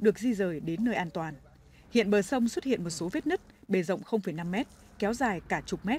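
This woman speaks with a Hanoi accent at a moderate pace. Her tone is dark and mellow, and somewhat breathy. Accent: Hanoi Vietnamese. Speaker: news reporter. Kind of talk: news reading.

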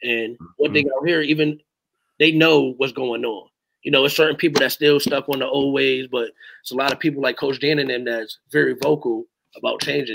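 Speaking in an American accent at a fairly quick pace, a man keeps his intonation fairly even over a quiet background. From Hamden, Connecticut; Connecticut. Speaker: youth basketball coach. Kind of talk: casual interview. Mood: relaxed, earnest. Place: home room.

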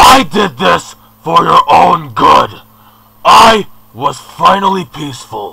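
Raspy and fairly slow, a man speaks with very wide pitch swings. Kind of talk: fan dub villain monologue. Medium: fan dub. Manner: bitter, self-righteous, indignant.

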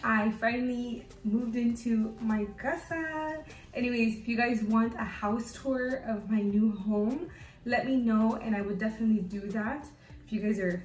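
A woman speaks at a moderate pace. The room echo is audible, with light background noise behind her. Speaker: fashion vlogger. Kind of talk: casual vlog chat. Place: home room. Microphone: camera far.

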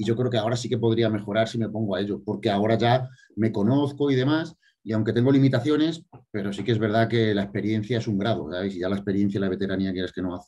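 Talking at a very fast pace, a man has a dark, mellow tone, a fairly low pitch and ordinary pitch variation. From Spain, Extremadura. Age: 30s. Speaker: bodybuilder; interviewee. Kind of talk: interview. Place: home room. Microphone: video call.

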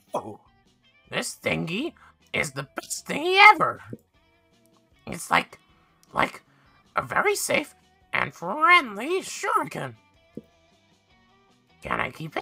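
A put-on character voice speaks at a high pitch and a fairly slow pace. Long, frequent pauses break it up, and faint music plays in the background. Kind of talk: reading game dialogue aloud in character voice. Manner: excited, naive.

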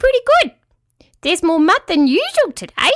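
This is a put-on character voice, squeaky and extremely high in pitch. It moves at a fairly quick pace. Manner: happy, cheerful.

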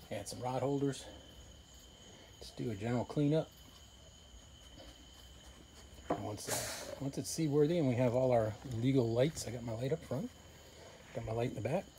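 A man speaks with long, frequent pauses and ordinary pitch variation, over light background noise. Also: moderate pace. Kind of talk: casual vlog chat. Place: garden. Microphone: phone near.

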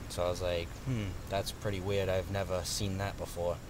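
A man's fairly low voice at a very fast pace, dry and echo-free, over noticeable background noise. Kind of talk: casual vlog chat. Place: garden. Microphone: phone near.

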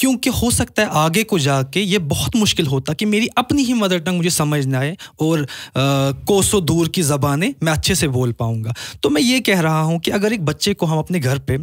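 Over a quiet background, a man with a Kashmiri accent speaks at a fairly high pitch with very wide pitch swings, very even loudness, and a moderate pace. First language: Kashmiri (speaking Hindi). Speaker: poet and businessman; poet. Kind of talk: casual chat. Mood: thoughtful, earnest. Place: studio. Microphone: studio mic.

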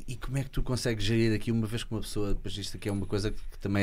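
A man with a European Portuguese accent at a very fast pace, his intonation fairly even. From Portugal. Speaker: podcast host. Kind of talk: interview questions, casual conversation. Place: studio. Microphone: studio mic.

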